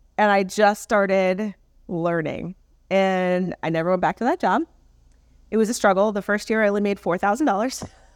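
Medium in pitch with ordinary variation, a woman talks at a moderate pace in an unremarkable speaking voice. The recording is very clean with a silent background, and the sound is dry and close with no echo. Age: 40s. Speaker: portrait and branding photographer. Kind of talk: interview.

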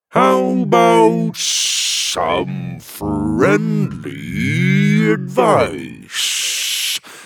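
A man puts on a character voice. His pitch is very deep and low, and he goes at a very slow pace. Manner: sheepish.

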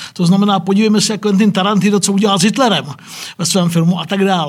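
This is a man speaking. His voice sits high in pitch. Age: 50s. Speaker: historian professor. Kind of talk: discussion. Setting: studio.

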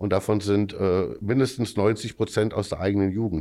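A man speaks at a fairly low pitch in a dark, mellow tone with fairly even intonation. The recording is very clean, with a silent background. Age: 50s. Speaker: amateur football club official. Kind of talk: podcast interview.

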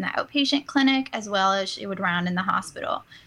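A woman speaks in a plain, everyday voice with an American accent. Her pitch is medium. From US South, New Orleans. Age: 20s. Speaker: PA student, former cardiac sonographer. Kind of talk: interview.

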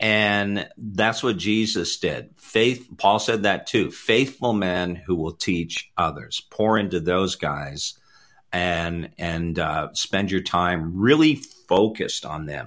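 Lively in intonation, a man speaks at a fairly low pitch and a very slow pace. He hardly pauses, and the background is quiet. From Canada. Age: 50s. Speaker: apostle and ministry network leader. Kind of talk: interview about faith and ministry. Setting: live online video show.

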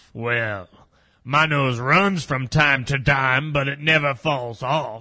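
A man puts on a character voice at a medium pitch and a fairly slow pace. The background is quiet. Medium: audio drama. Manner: peppers speech with "bark", laughs a lot.

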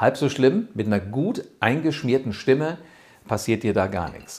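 A man talks at a fairly slow pace with very wide swings in pitch. The recording is very clean, with a silent background. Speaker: rhetoric coach and podcast host. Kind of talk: tutorial. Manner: animated.

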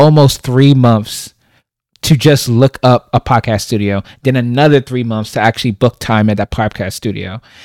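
On a very clean recording with a silent background and a dry, close sound with no echo, a man speaks at a moderate pace in a plain, everyday voice of medium pitch with ordinary pitch variation. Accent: American. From Brooklyn, New York. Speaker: podcaster. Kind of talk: casual interview chat.

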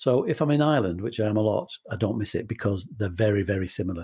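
Against a quiet background, a man talks at a very fast pace with lively intonation. His somewhat breathy voice sits at a medium pitch with a dark, mellow tone. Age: 60s. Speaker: radio presenter and charity chief executive. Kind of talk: casual interview chat.

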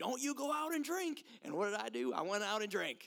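Putting on a character voice, a man talks at a fairly quick pace with a high pitch. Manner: scolding.

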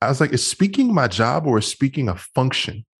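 A man with an American accent speaks at a moderate pace, somewhat breathy, his pitch swinging very widely. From Washington, D.C. and Maryland suburbs. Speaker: motivational speaker and men's coach. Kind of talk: interview.

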